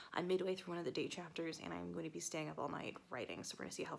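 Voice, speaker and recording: With vocal fry and ordinary pitch variation, a woman speaks at a fairly low pitch. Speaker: author vlogger. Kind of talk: casual vlog. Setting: at home on the couch at night. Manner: quiet, keeping voice down; hesitant with fillers.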